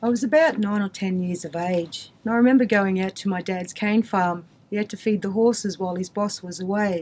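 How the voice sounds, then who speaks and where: Somewhat breathy, a woman talks at a fairly quick pace with hardly any pauses and ordinary pitch variation. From Queensland, Australia (Mackay); Queensland, Australia. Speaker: community storyteller. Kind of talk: personal testimony. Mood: earnest, storytelling. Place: studio.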